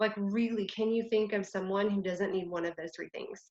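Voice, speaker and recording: A woman with a medium pitch speaks in a strong Texan accent. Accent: Texas accent, strong. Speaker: network marketing leader. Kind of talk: online training talk. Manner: animated.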